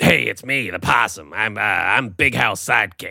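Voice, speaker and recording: Raspy and gravelly, a man's put-on character voice sits at a fairly low pitch and moves at a fairly slow pace. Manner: cartoonish, friendly.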